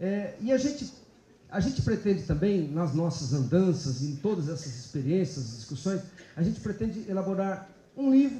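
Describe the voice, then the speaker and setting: With audible room echo, a man speaks at a moderate pace in a high voice that swings very widely in pitch. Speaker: public prosecutor giving a talk. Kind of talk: lecture. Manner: halting, many fillers.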